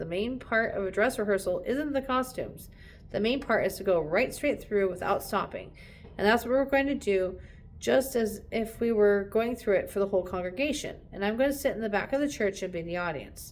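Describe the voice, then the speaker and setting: Using a put-on character voice, a woman speaks raspy and fairly quick, with a fairly high pitch and ordinary pitch variation. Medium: read story. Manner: patient, gently firm.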